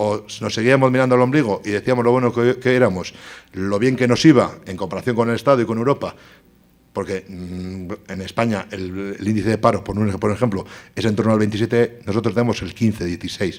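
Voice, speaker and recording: A man with a fairly low pitch keeps his intonation fairly even while talking fairly quickly. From Basque Country, Spain (Bilbao). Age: 40s. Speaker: politician, tourism director. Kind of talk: conference talk. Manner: fast.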